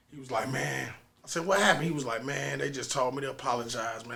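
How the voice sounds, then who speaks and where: A man speaks at a very fast pace with vocal fry and a bright, sharp tone, his pitch medium and its variation ordinary. The room echo is audible. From North St. Louis, Missouri. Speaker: musician. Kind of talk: casual storytelling interview. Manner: animated.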